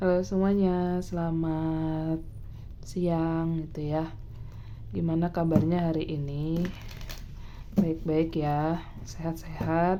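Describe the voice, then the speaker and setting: A relaxed tone at a very slow pace, with monotone, flat intonation, long, frequent pauses and audible room echo. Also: woman, fairly low pitch for a woman. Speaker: tarot reader. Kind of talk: casual tarot reading monologue. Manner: soft-spoken; relaxed, filler-heavy.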